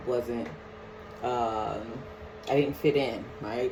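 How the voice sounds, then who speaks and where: There is audible room echo and noticeable background noise. A woman speaks very slowly with a New Orleans accent. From New Orleans, Louisiana (New Orleans East). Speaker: counselor. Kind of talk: personal life story monologue. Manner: casual, many filler words.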